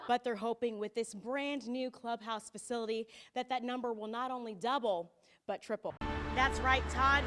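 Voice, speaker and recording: Over music in the background, a woman speaks at a moderate pace with a high pitch. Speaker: TV news reporter. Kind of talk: TV news report. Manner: precise.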